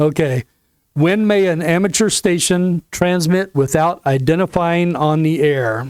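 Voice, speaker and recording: In a slight Southern US accent, a man with a high pitch and ordinary pitch variation speaks at a fairly slow pace with very even loudness. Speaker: ham radio license class instructor. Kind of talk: lecture. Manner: halting, with fillers.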